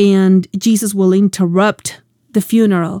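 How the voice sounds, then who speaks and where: On a very clean recording with a silent background and a dry, close sound with no echo, a woman speaks in an unremarkable speaking voice at medium pitch and a fairly slow pace. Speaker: Bible teacher and show host. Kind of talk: sermon-style Bible teaching.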